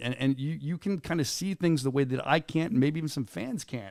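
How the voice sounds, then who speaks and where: Here is a man with an unremarkable speaking voice at a fairly high pitch. He talks at a fairly quick pace on a very clean recording with a silent background. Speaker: venue announcer and podcast host. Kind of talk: podcast hosting, casual talk with a guest.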